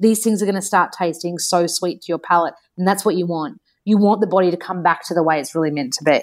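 A woman with an Australian accent, fairly low in pitch, speaking at a very fast pace with ordinary pitch variation. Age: 30s. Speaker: nutritionist and author. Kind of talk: casual chat. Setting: online call. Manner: animated.

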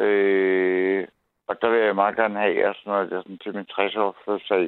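A man is speaking. His intonation stays flat and monotone. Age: 50s. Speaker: caller. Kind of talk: phone-in conversation. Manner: halting, many fillers.

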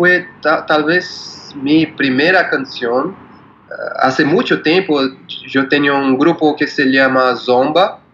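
The speaker, in a Portuguese accent, talks at a very slow pace with ordinary pitch variation and very even loudness. Noticeable background noise runs underneath. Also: man, fairly high pitch for a man. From Brazil, São Paulo. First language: Portuguese (speaking Spanish). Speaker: musician. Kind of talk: interview. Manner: halting.

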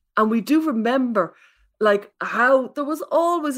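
On a very clean recording with a silent background, a woman speaks at a moderate pace in an Irish accent. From Ireland. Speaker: parenting expert and author. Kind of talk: casual chat.

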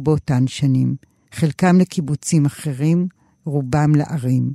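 A woman's very deep, low voice with a dark, mellow tone comes through dry and close, with no echo, on a very clean recording with a silent background. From Israel, kibbutz in western Galilee. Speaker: novelist. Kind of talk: reading aloud from her novel.

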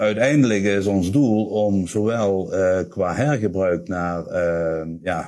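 In a very clean recording with a silent background, a man speaks at a fairly low pitch in a dark, mellow tone. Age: 50s. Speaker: corporate sustainability manager. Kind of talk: interview. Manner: halting, many filler sounds.

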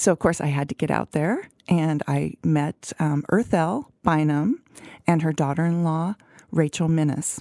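A woman's very deep, low voice with a dark, mellow tone, at a fairly slow pace with ordinary pitch variation, in a dry, close sound with no echo. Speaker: food journalist podcast co-host. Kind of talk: casual chat. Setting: studio.

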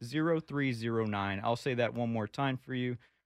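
A normal speaking voice at a moderate pace with ordinary pitch variation, dry, close sound with no echo, and a quiet background. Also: man. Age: 20s. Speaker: political activist. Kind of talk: casual chat.

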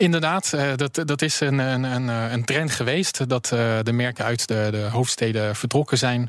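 This man has an unremarkable speaking voice, medium in pitch, with ordinary pitch variation and a fairly slow pace that has hardly any pauses. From France, Paris. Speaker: car company director. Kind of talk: radio interview.

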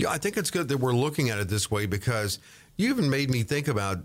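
The recording is very clean with a silent background, and the speaker's intonation is lively. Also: man. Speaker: podcast host.

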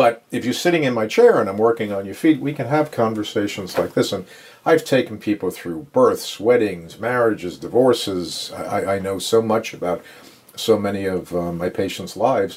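With an American accent, a man speaks in a plain, everyday voice at a medium pitch and a moderate pace, using lively intonation. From New York, Long Island. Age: 60s. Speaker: podiatrist. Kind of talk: casual interview. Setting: home office exam room.

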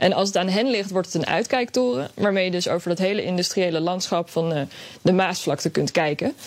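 A woman with a plain, everyday voice speaks at medium pitch with ordinary pitch variation and very even loudness. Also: fairly quick pace. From Netherlands, Scheveningen (The Hague). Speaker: radio editor. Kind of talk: radio segment chat. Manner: casual, with fillers.

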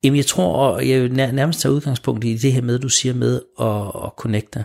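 Speech comes at a very slow pace. The recording is very clean, with a silent background. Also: man. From Denmark, Smørum. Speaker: guest on a faith radio show. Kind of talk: radio interview. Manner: hesitant, many repeated words.

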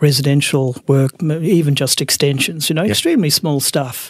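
With an Australian accent, a man speaks at a fairly high pitch with fairly even intonation. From Australia, Melbourne (Brighton, Sandringham). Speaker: architect. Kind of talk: interview.

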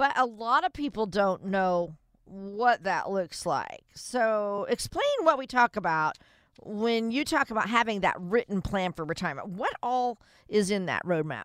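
Lively intonation runs through an ordinary speaking voice at a fairly slow pace. The sound is dry and close with no echo. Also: woman, medium pitch for a woman. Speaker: radio co-host. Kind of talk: radio show. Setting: studio. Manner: upbeat.

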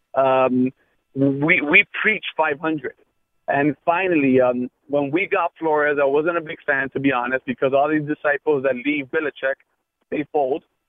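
A normal speaking voice from a man, fairly high in pitch, moderate in pace, with fairly even intonation. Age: 30s. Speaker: sports radio caller. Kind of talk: call-in talk radio.

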